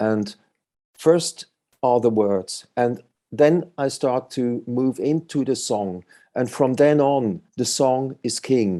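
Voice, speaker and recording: In a quiet background, a man with a non-native accent speaks very slowly at a medium pitch, with a dark, mellow tone and ordinary pitch variation. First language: not English. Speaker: musician. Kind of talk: interview. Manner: halting.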